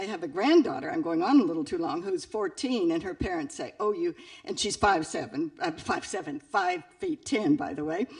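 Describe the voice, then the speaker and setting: A woman talks at a moderate pace in a fairly high pitch with very wide pitch swings, over noticeable background noise. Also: hardly any pauses. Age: 70s. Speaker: audience member. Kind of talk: audience question.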